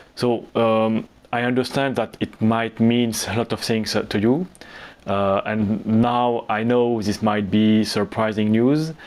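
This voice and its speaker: Fairly even intonation in a French accent at a fairly slow pace. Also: man, medium pitch for a man. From Lebanon. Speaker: business YouTuber. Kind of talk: channel announcement. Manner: hesitant, with fillers.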